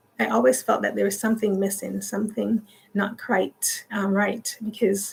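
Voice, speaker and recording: The speaker is a woman. Her voice lands at a medium pitch. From Jamaica, moved to Canada at fourteen. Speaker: YouTuber. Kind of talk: livestream casual chat. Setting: livestream. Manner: halting, many fillers.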